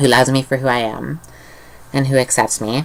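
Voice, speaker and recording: This woman's voice sits at a very deep, low pitch, with fairly even intonation. Noticeable background noise runs under the recording. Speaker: youth channel vlogger. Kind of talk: casual vlog talk. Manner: hesitant, many fillers.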